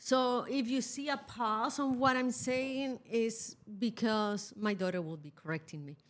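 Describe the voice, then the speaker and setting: A woman speaks at a fairly slow pace in a fairly high pitch. Her intonation is lively and her loudness swings widely. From Chile. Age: 50s. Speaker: podcast co-host, mother. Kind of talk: casual chat. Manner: halting.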